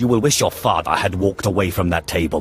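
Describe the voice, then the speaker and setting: A man does a put-on character voice, growling at a very deep, low pitch and a very fast pace. Faint music plays in the background. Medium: video game. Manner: cold, curt.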